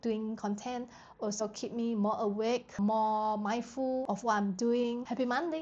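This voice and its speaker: Ordinary pitch variation from a woman with a non-native accent. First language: not English. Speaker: app developer vlogger. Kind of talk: vlog narration.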